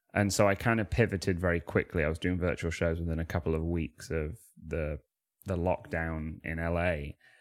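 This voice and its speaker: With a Manchester accent, a man speaks at a fairly quick pace in a very deep, low pitch, his fairly even intonation caught in a dry, close sound with no echo. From Manchester, England. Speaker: comedian and freestyle rapper. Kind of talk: casual interview chat. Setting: remote call.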